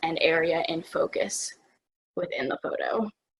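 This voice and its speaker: A woman speaks at a fairly slow pace. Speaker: student photography instructor. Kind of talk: tutorial webinar. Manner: hesitant with many fillers.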